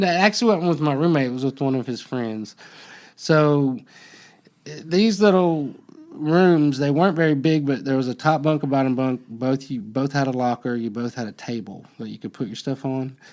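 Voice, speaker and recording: Moderate pace from a man with a slight Southern US accent. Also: fairly high pitch for a man, ordinary pitch variation. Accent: slight Southern redneck. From US South, Alabama. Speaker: podcast host, former prisoner. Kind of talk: casual chat. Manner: halting.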